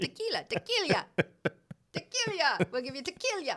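This put-on character voice sits at an extremely high pitch and makes very wide pitch swings. The pace is moderate. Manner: exaggerated, cartoonish.

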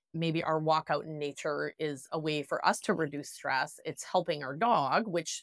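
Speaking at a moderate pace, a woman with a Wisconsin accent has a very deep, low pitch. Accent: Wisconsin Midwestern US. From Wisconsin, US. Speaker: dog trainer. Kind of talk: interview conversation.

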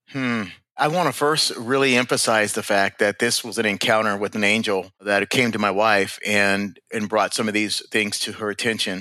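A man with a plain, everyday voice and a fairly low pitch speaks at a moderate pace with fairly even intonation. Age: 50s. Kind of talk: interview about spiritual experiences.

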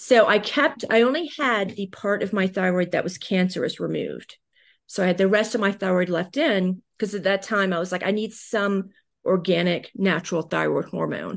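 A woman with an American accent, medium pitch, ordinary pitch variation and vocal fry, at a moderate pace against a quiet background. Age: 40s. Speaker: digital marketing consultant. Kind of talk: interview.

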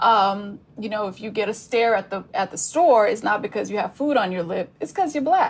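With an American accent, a woman with an unremarkable speaking voice and fairly high pitch talks at a moderate pace with lively intonation and hardly any pauses. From Texas (Spring, near Houston). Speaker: author. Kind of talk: casual chat.

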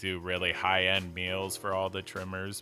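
With music in the background, a man talks at a fairly low pitch. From South Jersey, Philadelphia area. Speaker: cannabis grower, podcast co-host.

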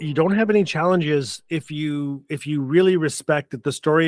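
A man with a Canadian accent and fairly high pitch, in a very clean recording with a silent background and a dry, close sound with no echo. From Northern Canada (Fort Smith, Northwest Territories). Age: 50s. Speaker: author and storyteller. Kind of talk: interview storytelling. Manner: animated.

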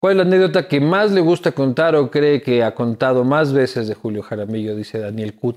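A man talks in a plain, everyday voice at a medium pitch. His fairly quick, lively delivery has hardly any pauses. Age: 30s. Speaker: podcast host. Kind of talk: casual interview chat.

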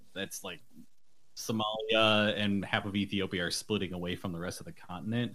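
A man's fairly low voice with an American accent. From Buffalo, New York, US. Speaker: author and bike traveler. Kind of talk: interview.

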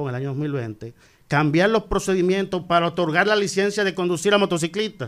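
This man talks with lively intonation. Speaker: road safety expert. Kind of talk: radio segment on road safety.

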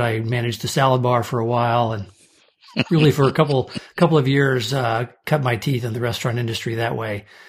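A man talks with an American accent. His voice is somewhat breathy, with fairly even intonation. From US Midwest (St. Louis, Omaha). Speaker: restaurant trade association CEO. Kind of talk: interview.

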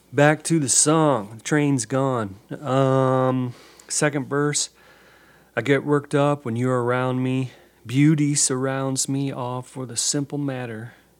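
The speaker talks at a very slow pace. The intonation is monotone and flat. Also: man, medium pitch for a man. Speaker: podcast host and songwriter. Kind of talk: casual monologue. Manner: hesitant, many fillers.

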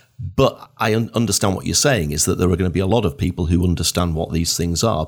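With a Northern English accent, this man speaks in a very deep, low voice with ordinary pitch variation. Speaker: podcast host. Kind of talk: interview. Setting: video call.

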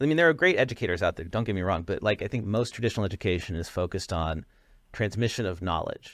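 Very fast speech from a man with a fairly low pitch and lively intonation, on a very clean recording with a silent background. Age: 40s. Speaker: podcast co-host and app founder. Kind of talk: interview. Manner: casual, conversational.

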